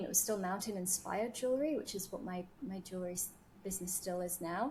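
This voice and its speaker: A woman with a British accent talks very fast with ordinary pitch variation. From United Kingdom. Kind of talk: podcast interview.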